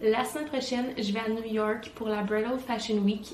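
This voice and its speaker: At a moderate pace and with fairly even intonation, a woman with a Quebec accent speaks in a fairly high pitch, with audible room echo and noticeable background noise. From Quebec, Montreal. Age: 20s. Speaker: vlogger and wedding planner. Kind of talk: vlog.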